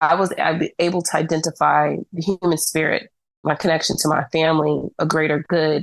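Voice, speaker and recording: A woman talks at a fairly quick pace with fairly even intonation. She has a normal speaking voice. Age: 30s. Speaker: blind baseball team co-captain. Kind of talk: podcast interview.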